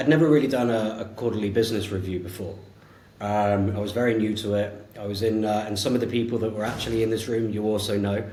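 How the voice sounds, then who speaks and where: Against noticeable background noise and audible room echo, a man talks very fast with a fairly low pitch and fairly even intonation. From England, Devon. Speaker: sales executive. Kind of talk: casual interview chat.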